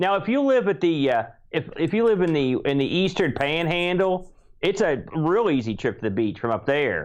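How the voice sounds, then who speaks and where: A man with an Appalachian accent speaks at a moderate pace and high pitch, his pitch swinging very widely while his loudness stays very even. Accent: Appalachian American. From West Virginia. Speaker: podcast host. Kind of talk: casual chat.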